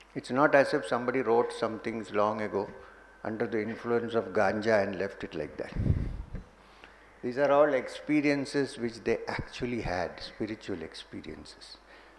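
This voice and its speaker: A man's ordinary speaking voice, medium in pitch, at a moderate pace with ordinary pitch variation. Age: 60s. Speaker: spiritual teacher. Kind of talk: spiritual talk.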